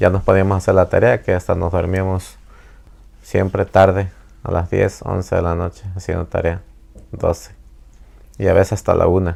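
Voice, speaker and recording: A man keeps a moderate pace, breaking his speech with long, frequent pauses. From Mexico. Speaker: immigrant father interviewed by daughter. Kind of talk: family interview. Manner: halting.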